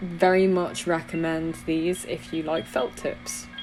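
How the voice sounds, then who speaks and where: With a British accent, a woman talks at a very slow pace in a fairly low pitch. Her intonation is fairly even, and there is noticeable background noise. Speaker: illustrator and art YouTuber. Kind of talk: casual voiceover narration. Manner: chatty, with fillers.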